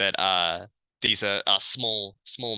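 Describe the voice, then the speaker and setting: A man with an Australian accent at a fairly slow pace, his tone bright and sharp, dry and close with no echo against a quiet background. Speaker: researcher. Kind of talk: lecture.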